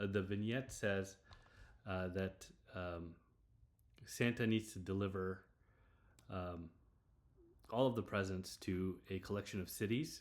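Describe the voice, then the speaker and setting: A man talks at a fairly slow pace with a fairly low pitch. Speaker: programming tutorial creator. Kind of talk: tutorial. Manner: hesitant, many fillers.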